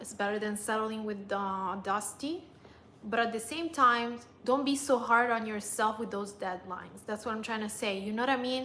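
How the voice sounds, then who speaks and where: In a non-native accent, a woman with a fairly high pitch uses ordinary pitch variation over audible room echo. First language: not English. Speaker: lifestyle vlogger and dating coach. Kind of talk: livestream chat. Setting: live stream.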